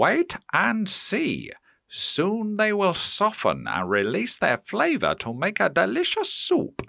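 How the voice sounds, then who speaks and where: A man puts on a character voice pitched high. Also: fairly slow pace. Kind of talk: bedtime story. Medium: read story. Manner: polite, gentle.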